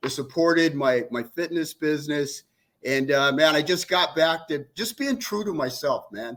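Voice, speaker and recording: Very clean recording of a man, silent background, an ordinary speaking voice, fairly high pitch, ordinary pitch variation and moderate pace. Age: 60s. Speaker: fitness coach. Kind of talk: casual chat.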